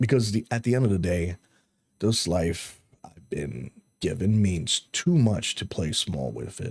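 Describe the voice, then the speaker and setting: Recorded dry and close with no echo, a man with vocal fry talks in a lively intonation. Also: fairly slow pace. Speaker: YouTube vlogger. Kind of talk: motivational talk to camera. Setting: on camera. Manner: halting, repeating words; earnest.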